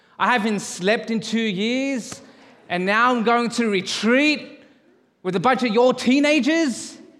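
A man with an Australian accent speaks at a fairly slow pace in an extremely high pitch, his pitch varying in an ordinary way. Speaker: pastor. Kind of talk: sermon. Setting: church service.

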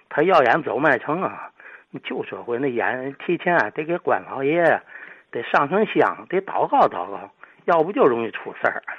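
A man with vocal fry talks at a moderate pace using lively intonation. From Tianjin, China. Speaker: elderly listener sharing memories. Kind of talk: reminiscence storytelling.

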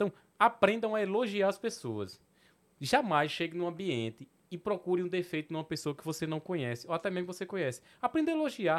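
A man with a high voice speaks with lively intonation at a fairly quick pace. The recording is very clean, and the background is silent. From Petrolina, Pernambuco sertão, Brazil. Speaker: comedian. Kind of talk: casual chat.

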